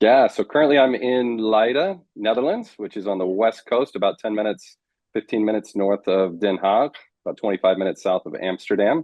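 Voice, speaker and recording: An unremarkable speaking voice with an American accent. It moves at a fairly quick pace. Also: man, medium pitch for a man, ordinary pitch variation. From United States. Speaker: marriage coach. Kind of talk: interview.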